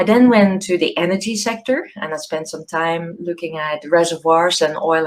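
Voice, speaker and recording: With a Dutch accent, a woman speaks at a moderate pace, fairly low in pitch, with lively intonation. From Netherlands, small village. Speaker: professor. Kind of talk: keynote talk to students. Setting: video call. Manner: hesitant, many fillers and repeats.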